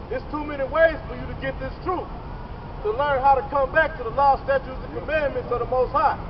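Over noticeable background noise, a man with an extremely high pitch talks at a very fast pace, his loudness swinging widely. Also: ordinary pitch variation. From US. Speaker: street preacher. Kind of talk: street preaching, fiery sermon-like rant with scripture quotes. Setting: outdoors, street with passersby. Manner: loud, confrontational, forceful; animated, insulting, call-and-response with fellow preachers. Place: street. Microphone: camera far.

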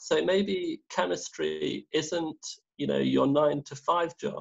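Against a quiet background, a man talks in an English Midlands accent. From English Midlands, Derby area. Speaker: research chemist; guest. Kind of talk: interview. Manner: halting. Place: home room. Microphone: video call.

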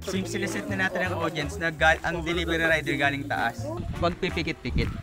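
A man talks at a very fast pace over clear background music. The sound is dry, with no echo. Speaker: film director on set. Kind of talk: on-set directions to actors. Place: open country.

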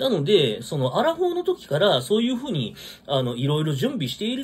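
Very wide pitch swings at a very fast pace. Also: man. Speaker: vlogger. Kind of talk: casual solo talk commenting on news. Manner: rambling, filler-heavy, casual. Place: home room. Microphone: phone near.

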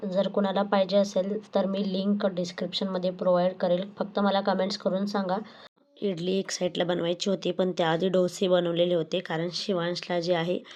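A woman talks with a medium pitch. Her intonation is monotone and flat. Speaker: vlogger, housewife. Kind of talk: casual vlog narration.

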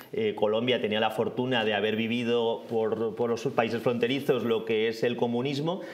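A man with an Aragonese accent talks at a moderate pace with ordinary pitch variation. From Zaragoza, Spain; Spain. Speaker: guest commentator. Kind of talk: casual news discussion. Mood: political opinion, animated. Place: studio. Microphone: lapel.

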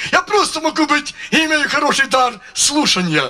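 A man speaks in a raised, projected voice. His intonation is lively and his pace moderate. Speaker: preacher. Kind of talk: testimony. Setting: church. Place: stage. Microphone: handheld.

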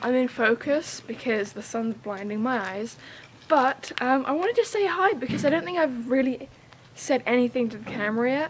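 A woman speaks at a moderate pace in a high voice, her loudness swinging widely, with light background noise. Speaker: home renovation vlogger. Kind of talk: casual vlog chat. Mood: cheerful, a bit squinting. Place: farm. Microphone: camera far.

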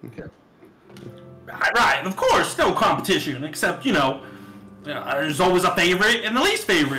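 Loud and high-pitched, a man puts on a character voice at a moderate pace while faint music plays in the background. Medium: actual play. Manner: loud, chummy, conspiratorial.

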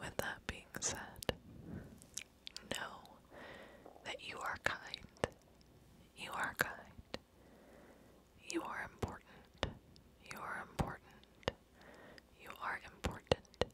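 A soft-spoken whisper moves at a very slow pace with long, frequent pauses, the sound dry with no echo over loud background noise. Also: woman. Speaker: ASMR creator. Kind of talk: soft-spoken ASMR affirmations. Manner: soft close-mic ASMR whisper. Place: home room. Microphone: studio mic.

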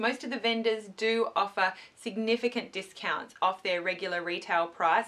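Her tone bright and sharp, a woman speaks at a moderate pace. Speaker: beauty vlogger. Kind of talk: casual vlog chat. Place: home room. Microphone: camera far.

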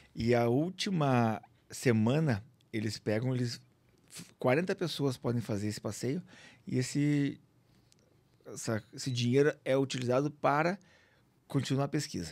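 Speaking at a fairly slow pace with long, frequent pauses, a man keeps a medium pitch and ordinary pitch variation. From Curitiba, southern Brazil. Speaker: aurora tour guide and businessman. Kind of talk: casual chat. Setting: studio. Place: studio. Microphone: studio mic.

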